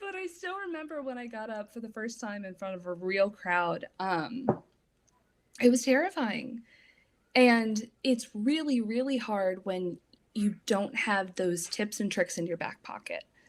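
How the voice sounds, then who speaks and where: A woman speaks in a normal speaking voice, fairly high in pitch, at a fairly slow pace, with lively intonation and big swings in loudness. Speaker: public speaking trainer. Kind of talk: casual interview chat.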